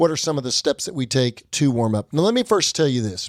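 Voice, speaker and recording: A man's normal speaking voice, fairly high in pitch, with lively intonation and a dry, close sound with no echo. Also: very clean recording, silent background. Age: middle-aged. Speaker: fitness podcast host. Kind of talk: podcast chat.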